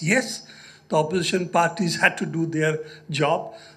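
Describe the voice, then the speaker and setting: A man speaks with audible room echo. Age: 70s. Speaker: journalist and speaker. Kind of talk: lecture.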